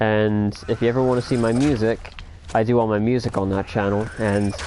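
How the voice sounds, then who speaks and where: Against noticeable background noise, a man speaks at a medium pitch with monotone, flat intonation. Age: 20s. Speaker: gamer streamer. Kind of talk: casual livestream chat. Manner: casual, stammering.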